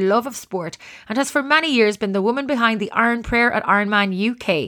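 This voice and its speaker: The speaker has an Irish accent and lively intonation. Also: woman. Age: 40s. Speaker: sports podcast host. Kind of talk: casual interview; scripted introduction.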